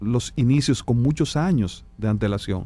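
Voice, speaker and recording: With music in the background, a man holds a medium pitch as he speaks. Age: 50s. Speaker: doctor. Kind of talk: medical interview on radio.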